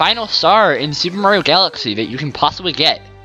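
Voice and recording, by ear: Natural-voiced reading aloud full of lively intonation.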